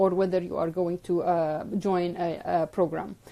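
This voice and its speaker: Speaking at a moderate pace with an Arabic accent, a woman has a dark, mellow tone. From Jordan. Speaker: orthodontist and dental educator. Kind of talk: live stream talk giving advice. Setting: live video stream. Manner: hesitant with frequent fillers.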